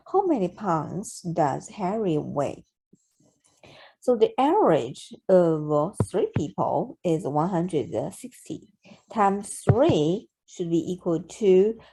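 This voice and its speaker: In a very clean recording with a silent background, a woman with a Chinese accent speaks very slowly in a dark, mellow tone at medium pitch, her intonation lively. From China. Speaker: math tutor. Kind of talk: math tutorial narration. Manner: slow, hesitant with fillers.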